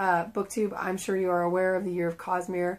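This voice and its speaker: This very clean recording of a woman has a silent background. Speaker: book vlogger. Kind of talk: casual video monologue. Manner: casual with fillers.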